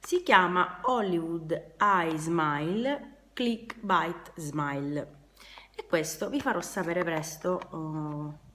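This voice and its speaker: Using lively intonation and a bright, sharp tone, a woman with a fairly low pitch speaks at a very slow pace. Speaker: beauty and DIY youtuber. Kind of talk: product unboxing review. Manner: casual, hesitant with fillers.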